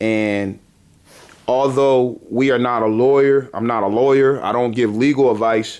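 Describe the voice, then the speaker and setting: With a plain, everyday voice, a man speaks at a fairly slow pace using fairly even intonation. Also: medium pitch for a man. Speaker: homeowner advocacy organization founder. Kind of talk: interview host talk.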